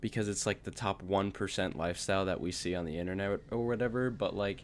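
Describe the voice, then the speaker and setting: Fairly low in pitch with ordinary variation, a man with an unremarkable speaking voice talks fairly quickly in a very clean recording with a silent background. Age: 18. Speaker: vlogger. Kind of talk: casual monologue. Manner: casual, filler-heavy.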